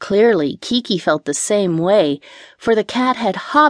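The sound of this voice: Lively intonation in an unforced reading voice.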